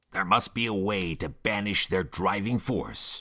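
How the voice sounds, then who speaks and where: A put-on character voice comes out as a growl. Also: man, fairly low pitch for a man, moderate pace. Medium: machinima. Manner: blunt, matter-of-fact.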